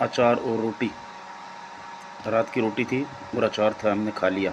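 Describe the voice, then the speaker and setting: A man speaks with monotone, flat intonation against noticeable background noise. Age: 60s. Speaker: spiritual storyteller. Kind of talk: religious discourse.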